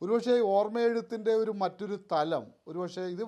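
A man speaks with a high pitch and ordinary pitch variation. His tone is dark and mellow, and the background is quiet. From Kerala, Kannur. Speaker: writer. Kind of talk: interview.

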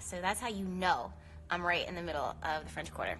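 Music sounds behind a woman as she talks. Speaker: astrology live host. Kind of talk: casual live-stream chat. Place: garden. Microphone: phone near.

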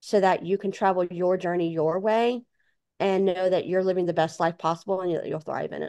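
Against a quiet background, the speech runs at a moderate pace with fairly even intonation. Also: woman. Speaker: author and speaker; podcast guest. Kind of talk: interview. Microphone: video call.

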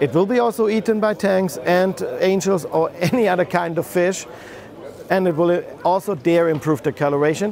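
A man's high-pitched voice with a German accent, moderate pace, ordinary pitch variation and very even loudness, dry with no echo, with light background noise. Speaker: company owner presenting own aquarium products. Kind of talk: product presentation video. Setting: trade show. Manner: halting, with fillers and restarts. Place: hall. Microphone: lapel.

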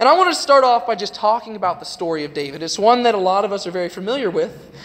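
With an American accent, a man talks at a high pitch with lively intonation. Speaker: youth preacher. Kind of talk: sermon. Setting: church. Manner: informal. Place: church.

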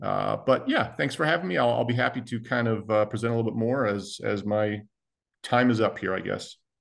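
Over a quiet background, a man talks at a fairly quick pace with vocal fry. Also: ordinary pitch variation. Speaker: federal law enforcement agent. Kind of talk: panel presentation. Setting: video call. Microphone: video call.

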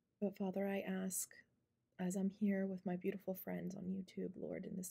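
Soft-spoken and somewhat breathy, a woman speaks at a moderate pace in a dark, mellow tone with monotone, flat intonation. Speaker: ASMR creator. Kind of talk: spoken prayer. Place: home room. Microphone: phone near.

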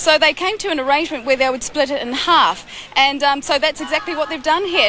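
A woman speaks at a fairly quick pace with a bright, sharp tone over faint background noise.

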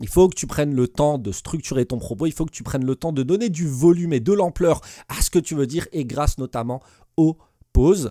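Against a quiet background, a man with a fairly high, dark, mellow voice talks at a fairly quick pace with lively intonation, the sound dry with no echo. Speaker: teacher and exam coach; teacher giving exam advice. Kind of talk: tutorial. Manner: fast; hesitant with many fillers. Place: home room. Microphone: studio mic.

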